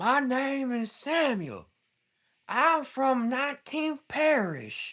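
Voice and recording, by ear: A female-sounding put-on character voice with a Southern US accent speaks very slowly at a high pitch, on a very clean recording with a silent background. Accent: Southern American.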